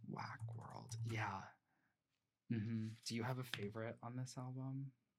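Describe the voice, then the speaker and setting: A man with a somewhat breathy voice speaks at a medium pitch and a fairly slow pace in a monotone, flat intonation. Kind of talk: ASMR roleplay, soft-spoken shop clerk talking to a customer. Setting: home recording with a close microphone.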